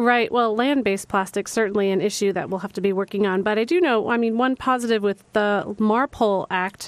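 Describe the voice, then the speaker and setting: A plain, everyday voice moves at a fairly quick pace with hardly any pauses. Its pitch variation is ordinary. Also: woman, fairly high pitch for a woman. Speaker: radio host. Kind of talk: radio interview. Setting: radio studio.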